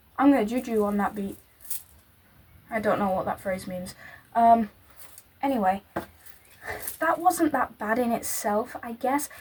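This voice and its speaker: Speaking in a Yorkshire accent, a woman uses a fairly high pitch and lively intonation. Her pace is moderate, broken by long, frequent pauses. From northern England, Yorkshire. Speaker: YouTuber. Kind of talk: casual reaction commentary.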